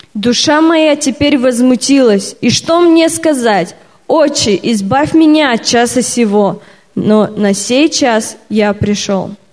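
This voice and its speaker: Over noticeable background noise, a woman speaks very slowly in a high pitch with lively intonation. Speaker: Russian interpreter. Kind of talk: consecutive interpreting of a sermon. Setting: church stage with audience.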